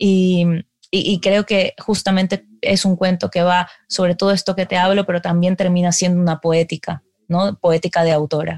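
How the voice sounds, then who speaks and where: Recorded very cleanly against a silent background, with a dry, close sound and no echo, a woman at a medium pitch speaks at a moderate pace in a monotone, flat intonation with very even loudness. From Ecuador. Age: 30s. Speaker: novelist. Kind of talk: interview.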